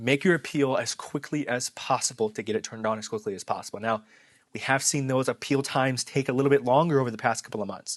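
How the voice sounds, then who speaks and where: A man's medium-pitched, fairly evenly intoned voice at a very fast pace, dry and close with no echo, over a quiet background. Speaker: marketing YouTuber. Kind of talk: casual talk to camera. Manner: halting, self-correcting.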